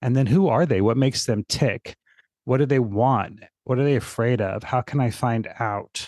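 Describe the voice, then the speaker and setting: The man has a plain, everyday voice at a medium pitch, with ordinary pitch variation and very even loudness. He talks at a moderate pace over a quiet background. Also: dry, close sound with no echo. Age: 60s. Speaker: fitness marketing consultant. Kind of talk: podcast interview.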